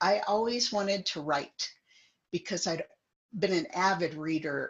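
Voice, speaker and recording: In a Midwestern American accent, a woman speaks at a moderate pace with ordinary pitch variation. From US Midwest, central Illinois. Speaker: guest sharing life story. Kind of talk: casual chat.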